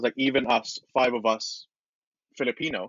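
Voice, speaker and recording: With a British accent, a man talks at a moderate pace with fairly even intonation. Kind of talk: casual chat. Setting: podcast recording.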